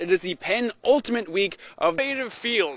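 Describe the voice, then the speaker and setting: His intonation is lively and his tone bright and sharp. The man speaks in a raised, projected voice. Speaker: sports anchor and reporter. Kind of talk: TV sports news report.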